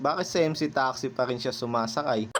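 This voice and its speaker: A man speaks over noticeable background noise. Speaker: motorcycle taxi driver and vlogger. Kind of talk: casual storytelling vlog. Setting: outdoors in rain.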